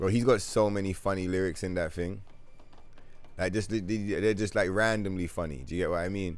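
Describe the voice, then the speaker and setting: A man's very deep, low pitch at a fairly quick pace, with audible room echo. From London, England. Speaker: gaming live streamer. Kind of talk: casual gameplay live stream chat. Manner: animated.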